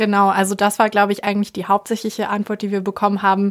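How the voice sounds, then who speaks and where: In a very clean recording with a silent background, a woman talks at a very fast pace in a medium pitch, her intonation monotone and flat. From eastern Germany, Leipzig. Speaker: student radio host. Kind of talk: casual chat; street interview. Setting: studio.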